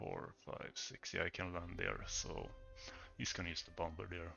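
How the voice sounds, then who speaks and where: A man mumbling at a moderate pace in a very deep, low voice. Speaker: strategy game streamer. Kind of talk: live gameplay commentary. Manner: mumbling, thinking aloud; hesitant, halting.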